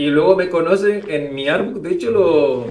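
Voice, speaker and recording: The speaker has a Canary Islands accent and a moderate pace. Room echo is audible. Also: man. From Canary Islands, Spain. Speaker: illustrator. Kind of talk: interview. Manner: halting, many repetitions.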